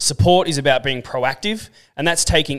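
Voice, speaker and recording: A man races along at a very fast pace with an Australian accent. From Australia, Central Coast NSW. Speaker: podcast co-host. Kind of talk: casual chat.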